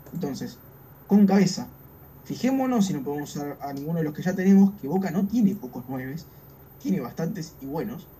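The speaker has a Rioplatense accent. The pace is fairly quick. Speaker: football podcast co-host. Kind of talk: casual chat.

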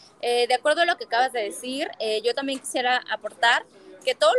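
A woman speaks in a high pitch with a dry, close sound and no echo. Noticeable background noise is present. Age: 20s. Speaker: politician and women's rights activist. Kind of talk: interview conversation.

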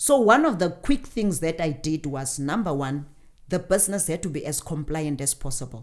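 Intonation rises and falls in a lively way. It is an ordinary speaking voice. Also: woman. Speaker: business owner and CEO. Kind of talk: interview. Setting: studio.

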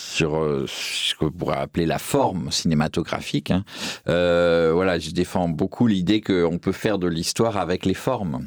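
A man with a very deep, low pitch and ordinary pitch variation at a moderate pace, dry and close with no echo, over noticeable background noise. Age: 50s. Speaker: film historian and critic. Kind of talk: interview. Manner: hesitant, many fillers.

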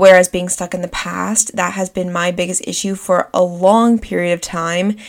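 A woman with a normal speaking voice talks at a moderate pace. Her pitch is medium and her intonation fairly even. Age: 20s. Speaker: podcast host. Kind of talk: solo podcast monologue.

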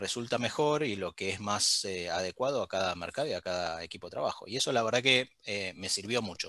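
Over a silent background in a very clean recording, a man speaks with a bright, sharp tone in a dry, close sound with no echo. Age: 40s. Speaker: HR director. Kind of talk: interview.

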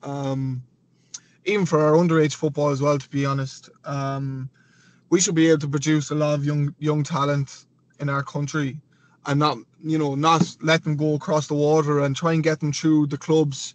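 The speaker has a western Irish accent and a moderate pace. The intonation is monotone and flat. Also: man, fairly high pitch for a man. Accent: Irish (west of Ireland). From Galway, Ireland. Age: 20s. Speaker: professional footballer. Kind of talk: casual interview.

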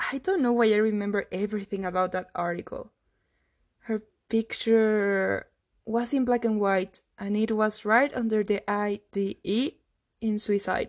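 At a fairly slow pace, a woman talks with fairly even intonation against a quiet background. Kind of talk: dramatic monologue narration, then casual spoken summary. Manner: subdued, confessional, reflective; halting, hesitant with fillers in the later summary.

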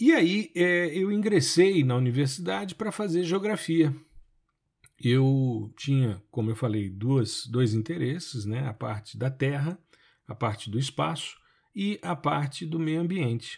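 Fairly high and somewhat breathy, a man's voice swings very widely in pitch at a fairly slow pace, on a very clean recording with a silent background. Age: 50s. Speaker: podcast host and remote sensing professor. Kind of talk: solo podcast monologue. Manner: conversational.

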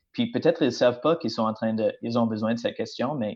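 This is a man speaking. His pitch is medium. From British Columbia, Canada. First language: English (speaking French). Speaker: teacher and church intern. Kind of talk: casual chat. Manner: halting.

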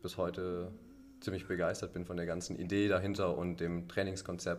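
Audible room echo surrounds a man whose very deep, low voice stays monotone and flat at a moderate pace. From Allgäu, southern Germany. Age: 20s. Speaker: boatbuilder apprentice, CrossFit member. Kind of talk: casual interview chat.

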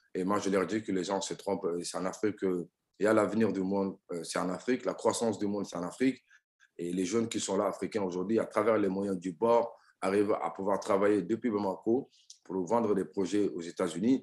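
A man talks fairly quickly at a fairly low pitch. His intonation stays fairly even, and the background is quiet. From Mali and France. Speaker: tech entrepreneur. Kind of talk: interview. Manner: hesitant with fillers.

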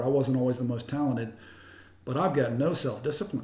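A man speaks in an American accent with a fairly high pitch. There is audible room echo. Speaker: pastor. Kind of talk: casual interview. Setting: host's home.

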